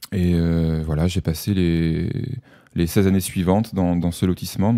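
At a moderate pace, a man talks in a very deep, low voice with a dark, mellow tone. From southern France, Avignon area. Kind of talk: radio interview. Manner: halting.

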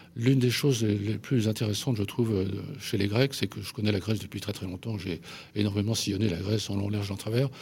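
On a very clean recording with a silent background, a man with a fairly low pitch sounds somewhat breathy, keeping a moderate pace and fairly even intonation. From Paris, France. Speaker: journalist and essayist. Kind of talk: radio interview. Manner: halting, many hesitations.

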